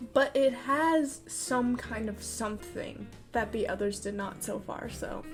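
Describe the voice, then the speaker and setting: A woman's fairly high voice with lively intonation, music playing behind her. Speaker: artist. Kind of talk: casual talk to camera.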